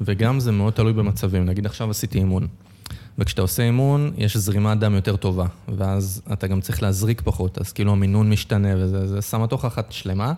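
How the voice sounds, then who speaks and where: Speaking at a fairly quick pace, a man uses a dark, mellow tone, fairly low pitch and fairly even intonation. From Israel, north Tel Aviv. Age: 20s. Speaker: food blogger and stand-up comedian. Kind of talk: casual podcast interview.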